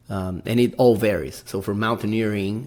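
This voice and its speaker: A man speaks with a Brazilian accent at a moderate pace. His voice sits fairly low in pitch. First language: Portuguese. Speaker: podcast host, amateur mountaineer. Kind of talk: casual podcast monologue. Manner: halting, many fillers.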